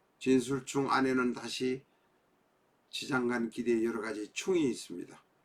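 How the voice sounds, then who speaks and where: A man's medium-pitched voice at a very slow pace. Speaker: fortune teller teaching saju. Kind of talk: lecture. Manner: formal.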